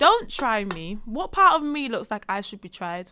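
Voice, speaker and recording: A woman projects a raised voice with a bright, sharp tone, very wide pitch swings, and a fairly slow pace. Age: 20s. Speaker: voiceover artist. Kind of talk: casual chat.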